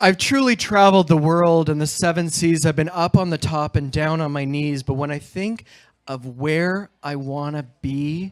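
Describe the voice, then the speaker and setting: An ordinary speaking voice moves at a moderate pace with ordinary pitch variation, on a very clean recording with a silent background. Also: man, fairly high pitch for a man. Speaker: event host. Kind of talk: motivational speech to a live audience.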